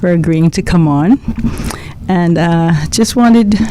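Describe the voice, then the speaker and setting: A woman with a very deep, low pitch talks while noticeable background noise runs underneath. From Cayman Islands, George Town. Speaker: radio talk show host. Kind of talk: radio interview.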